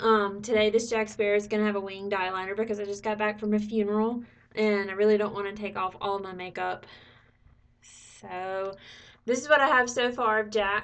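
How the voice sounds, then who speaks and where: A woman talks fairly quickly at a fairly high pitch. Her intonation stays monotone and flat. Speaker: makeup tutorial creator. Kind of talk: tutorial. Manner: casual, chatty.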